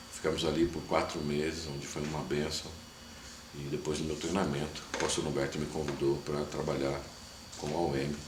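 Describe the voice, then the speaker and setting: Over noticeable background noise and audible room echo, a man speaks at a moderate pace in a very deep, low voice with monotone, flat intonation. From Brazil, São Paulo city. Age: 30s. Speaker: missionary. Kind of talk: testimony.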